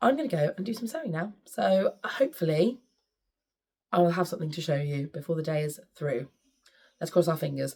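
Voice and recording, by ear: A woman's put-on character voice, hoarse, raspy and croaky, fairly low in pitch, with lively intonation, a fairly quick pace and long, frequent pauses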